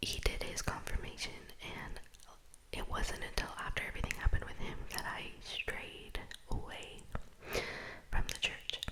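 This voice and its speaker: A whispering woman with long, frequent pauses over noticeable background noise. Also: moderate pace. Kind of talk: ASMR whispered personal ramble. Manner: whispered.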